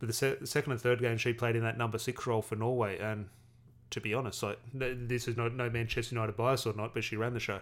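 With an Australian accent, a man speaks very fast at a medium pitch in a monotone, flat intonation. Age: 30s. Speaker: football podcast host. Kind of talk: solo podcast commentary. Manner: casual, with frequent fillers.

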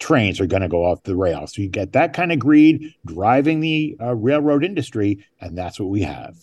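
Over a quiet background, a man at medium pitch speaks with very wide pitch swings and hardly any pauses. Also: moderate pace. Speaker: journalist. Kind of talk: interview. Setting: remote from a desk at City Hall. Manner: halting, frequent fillers.

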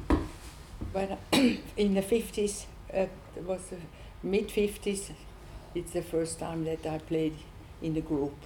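Amid noticeable background noise, the speaker moves at a fairly slow pace with fairly even intonation and long, frequent pauses. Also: woman, fairly low pitch for a woman. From Switzerland. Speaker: improvising pianist. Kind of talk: panel discussion. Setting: stage with audience.

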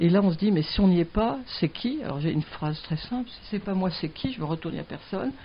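Somewhat breathy, a woman at a medium pitch talks at a fairly quick pace with lively intonation, big swings in loudness, and hardly any pauses. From southern France (Mediterranean). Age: 60s. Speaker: veterinarian, wildlife centre founder. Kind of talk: interview.

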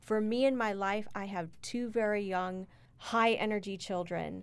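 On a very clean recording with a silent background, a woman talks at a fairly slow pace. Her pitch is medium and her intonation monotone and flat. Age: 40s. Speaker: university diversity director. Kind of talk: casual chat.

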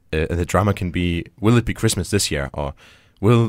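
In a very clean recording with a silent background, a man speaks at a fairly quick pace with a very deep, low pitch. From Denmark. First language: Danish. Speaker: show guest. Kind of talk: casual chat. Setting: studio.

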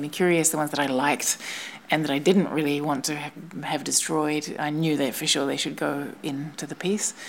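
A woman with a New Zealand accent speaks at a fairly quick pace in a very deep, low pitch and fairly even intonation, over noticeable background noise. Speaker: installation artist. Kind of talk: casual chat. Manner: halting.

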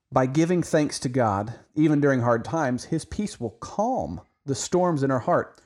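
A man with an ordinary speaking voice talks in an American accent at a moderate pace. His pitch is fairly high and his intonation lively. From Oklahoma. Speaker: Bible podcast host. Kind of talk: religious podcast discussion.

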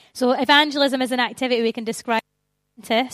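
A woman with a Scottish accent talks at a very fast pace in a warm, enthusiastic tone. The recording is very clean, with a silent background. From Scotland, Stirling. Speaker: Bible school outreach coordinator, evangelist. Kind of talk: church talk on evangelism. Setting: church, speaking to a live audience. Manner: warm, enthusiastic, conversational.

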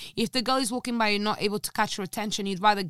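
A woman with a Portuguese accent at medium pitch, ordinary pitch variation, and a dry, close sound with no echo on a very clean recording with a silent background. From Portugal. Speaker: language teacher. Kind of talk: casual chat.

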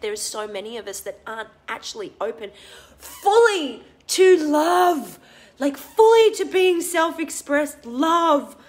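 Fairly slow delivery with very wide pitch swings. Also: woman. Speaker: holistic business coach doing a Facebook Live. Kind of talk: casual, profane.

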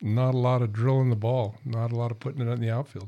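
The recording is very clean, with a silent background. A man speaks at a medium pitch in a dark, mellow tone with monotone, flat intonation. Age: 60s. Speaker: duck hunter, father. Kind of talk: casual chat.

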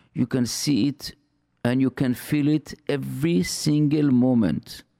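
A man of medium pitch speaks with a non-native accent and lively intonation. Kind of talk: religious talk radio monologue. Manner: halting, with frequent fillers and repetitions.

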